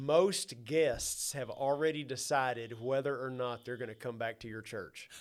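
A man's medium-pitched voice with an Arkansas accent, fairly even intonation, a moderate pace and big swings in loudness. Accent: US Southern (Arkansas). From Arkansas, Mansfield area near Fort Smith. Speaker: church ministry consultant, former pastor. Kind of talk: interview conversation.

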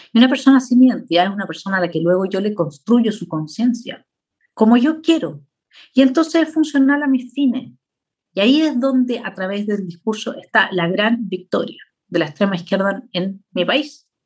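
With lively intonation and a somewhat breathy quality, a woman speaks at a moderate pace in a fairly high pitch. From Chile. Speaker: political philosopher. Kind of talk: lecture with slides.

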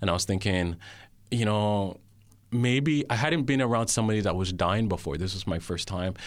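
A man speaks at a moderate pace in a normal speaking voice. His pitch is fairly low, with ordinary pitch variation. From Jamaica (Kingston), then Canada from age nine. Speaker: guest sharing faith testimony. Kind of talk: testimony. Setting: studio.

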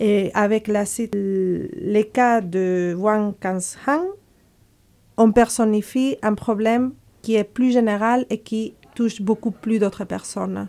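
A woman with a Spanish accent speaks very slowly in a fairly high pitch, her dark, mellow tone rising and falling with ordinary variation. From Spain. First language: Spanish (speaking French). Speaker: human rights campaign coordinator. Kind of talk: radio interview, role-play debate. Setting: studio.

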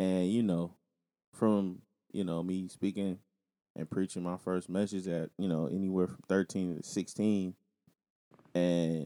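In a very clean recording with a silent background and a dry, close sound without echo, a man talks at a fairly slow pace with a dark, mellow tone. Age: 30s. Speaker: podcast co-host and preacher. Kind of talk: casual chat.

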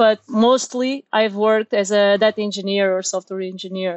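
With a Portuguese accent, a woman with a fairly high pitch talks at a moderate pace using fairly even intonation. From Portugal, Lisbon. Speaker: software engineer and meetup organizer. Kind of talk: casual interview. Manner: halting, repeats words.

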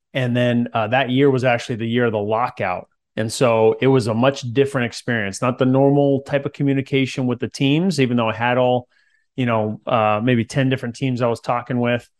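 In a plain, everyday voice, the speaker goes at a fairly quick pace with fairly even intonation. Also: man, medium pitch for a man. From Central California. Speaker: former pro football player turned real estate investor. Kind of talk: interview.

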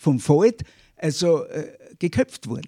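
Speaking at a fairly slow pace, a man swings very widely in pitch, the sound dry and close with no echo. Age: old. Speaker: historian. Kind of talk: interview.

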